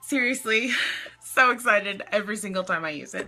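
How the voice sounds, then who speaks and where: Putting on a breathy character voice, a woman speaks fairly quickly at a medium pitch with ordinary pitch variation. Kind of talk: casual, chatty. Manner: breathy, excited.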